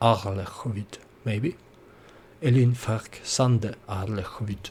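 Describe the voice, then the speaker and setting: Somewhat breathy and medium in pitch, a man speaks at a very slow pace with ordinary pitch variation. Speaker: gaming video creator. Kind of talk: let's play commentary. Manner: halting.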